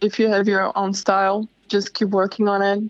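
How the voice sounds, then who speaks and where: The sound is dry and close with no echo as a woman speaks at a fairly slow pace and medium pitch, with a Slovak accent. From Slovakia. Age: young. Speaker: mural artist and illustrator. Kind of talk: interview.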